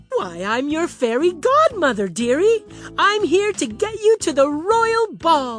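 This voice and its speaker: A cartoonish character voice, high in pitch with very wide pitch swings, at a fairly slow pace over clear music in the background. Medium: puppet show. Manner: chirpy, motherly, says dearie.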